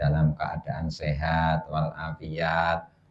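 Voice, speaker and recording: The voice is dark and mellow in tone, very slow, and monotone and flat in intonation. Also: man. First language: Javanese (speaking Indonesian). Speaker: Islamic religious teacher. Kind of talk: religious study lecture. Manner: halting, pausing to think.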